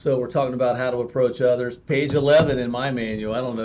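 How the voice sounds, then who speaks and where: Noticeable background noise surrounds a man of medium pitch talking at a very fast pace. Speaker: co-host. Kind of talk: casual discussion. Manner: loud, enthusiastic talker; hesitant with fillers.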